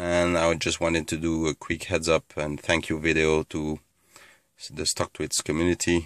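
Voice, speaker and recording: A man speaks at a fairly slow pace in a very deep, low pitch with monotone, flat intonation. The background is quiet and the sound is dry with no echo. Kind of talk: casual vlog chat. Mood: pleased, thankful. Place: car.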